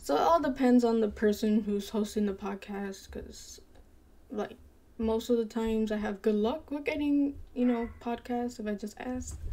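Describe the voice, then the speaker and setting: Mumbling at a moderate pace, a woman speaks in a fairly high pitch with ordinary pitch variation, her voice somewhat breathy with a dark, mellow tone. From Dominican-American, parents from Dominican Republic. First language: bilingual Spanish speaker. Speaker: gaming streamer. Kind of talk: casual live-stream chat. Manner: hesitant, unconfident delivery.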